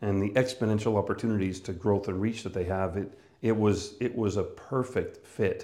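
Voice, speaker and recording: A man's dark, mellow voice at a moderate pace with fairly even intonation. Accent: Canadian. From Canada, northern Manitoba. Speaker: business coach and speaker. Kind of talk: personal monologue about career.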